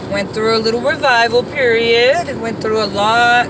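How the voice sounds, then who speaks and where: Words come at a very slow pace through noticeable background noise and audible room echo. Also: woman. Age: 60s. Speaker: vlogger. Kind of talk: casual monologue while driving. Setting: in a car.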